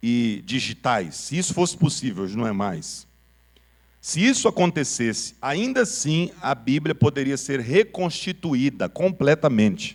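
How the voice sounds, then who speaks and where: A man's voice drops into vocal fry and leaps across a huge pitch range as he talks rather slowly. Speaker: pastor teaching a Bible class. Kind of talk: sermon-style Bible lesson. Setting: church with PA system.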